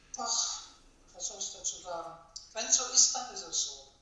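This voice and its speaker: There is audible room echo and noticeable background noise as a woman speaks at a moderate pace with ordinary pitch variation. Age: 60s. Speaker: database administrator. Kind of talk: interview.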